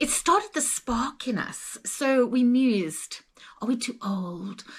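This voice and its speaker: A woman speaks with a Zimbabwean accent. Her pitch is high. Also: very clean recording, silent background. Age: 60s. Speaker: travel vlogger. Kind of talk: casual chat.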